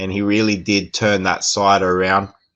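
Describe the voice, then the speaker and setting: A man with an Australian accent talks in a fairly low voice with a bright, sharp tone. His pace is fairly slow, over a quiet background. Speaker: football show co-host. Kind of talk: casual football discussion.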